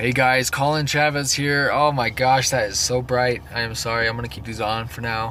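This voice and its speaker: A man's medium-pitched voice, fairly even in intonation and with hardly any pauses, amid noticeable background noise and audible room echo. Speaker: bodybuilder vlogger. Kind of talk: casual vlog monologue. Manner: fast; hesitant with fillers and repeats.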